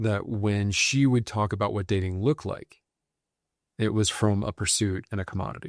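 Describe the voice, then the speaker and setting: In an unremarkable speaking voice, a man with a fairly low pitch talks at a fairly quick pace. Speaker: men's violence prevention practitioner. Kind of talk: podcast conversation.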